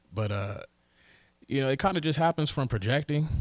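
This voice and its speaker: A man with an American accent speaks at a fairly quick pace, his somewhat breathy voice carrying lively intonation on a very clean recording with a silent background. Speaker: rapper. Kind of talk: casual chat. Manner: soft-spoken.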